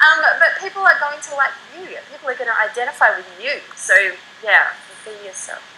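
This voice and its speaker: Raising and projecting her voice, a woman with a high pitch speaks at a fairly quick pace, her intonation lively and her loudness swinging widely. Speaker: internet marketer. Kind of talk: interview. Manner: fast; animated.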